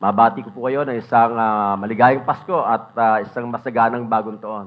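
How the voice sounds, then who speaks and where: Ordinary pitch variation marks this man's normal speaking voice at medium pitch. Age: 60s. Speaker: pastor. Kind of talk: sermon. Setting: church.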